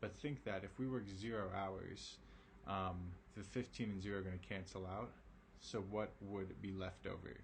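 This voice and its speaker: A man talks at a moderate pace with ordinary pitch variation, his voice carrying audible room echo. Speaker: math teacher. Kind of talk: online lesson. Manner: casual, with many fillers.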